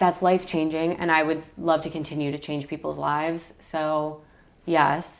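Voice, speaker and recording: In an American accent, a woman with a very deep, low pitch talks at a moderate pace in a monotone, flat intonation. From US Midwest, Michigan. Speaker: travel content creator. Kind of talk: interview.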